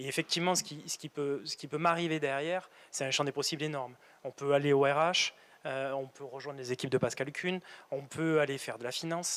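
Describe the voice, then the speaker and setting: This man's voice has a fairly high pitch. He speaks at a fairly quick pace. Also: fairly even intonation. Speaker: factory manager. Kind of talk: career interview in a webinar. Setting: on site at a factory, webinar filming. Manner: halting, many repetitions and hesitations.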